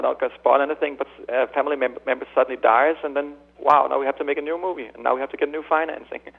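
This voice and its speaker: A man rattles along very fast with music playing in the background. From Denmark. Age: 40s. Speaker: film director. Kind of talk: interview.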